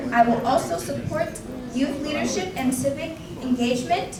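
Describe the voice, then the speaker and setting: With an American accent and a high pitch, a woman speaks at a moderate pace amid noticeable background noise and audible room echo. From New York, US. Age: 20s. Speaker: beauty pageant queen. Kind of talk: prepared address.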